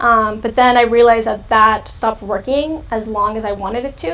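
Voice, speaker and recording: A woman with an American accent speaks at a fairly high pitch with ordinary pitch variation, with noticeable background noise present. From California. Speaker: youtuber. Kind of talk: live stream Q&A chat. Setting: live stream. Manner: casual, filler-heavy.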